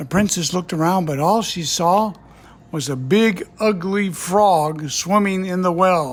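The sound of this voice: Ordinary pitch variation comes through in an unforced reading voice.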